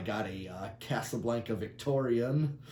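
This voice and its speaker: A man with a dark, mellow, somewhat breathy tone and medium pitch speaks at a fairly slow pace with ordinary pitch variation, and room echo can be heard. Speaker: ceiling fan collector and video maker. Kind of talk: casual product demo. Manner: halting, many fillers.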